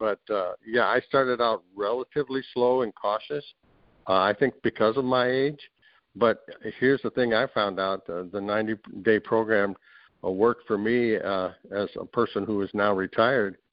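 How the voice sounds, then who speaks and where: Speaking in an unremarkable speaking voice, a man keeps a moderate pace, his pitch medium and its variation ordinary. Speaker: program participant sharing his success story. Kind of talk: casual interview. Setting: video call.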